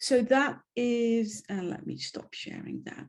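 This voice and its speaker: A woman talks at a fairly slow pace and a fairly high pitch. Her tone is dark and mellow, and her intonation is lively. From Netherlands. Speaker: webinar host. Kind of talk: event introduction. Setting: video webinar. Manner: hesitant, many fillers.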